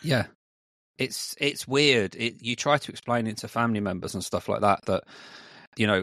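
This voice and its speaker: A man with a normal speaking voice talks at a moderate pace, his medium pitch moving in lively intonation. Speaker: podcast host. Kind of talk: casual interview chat.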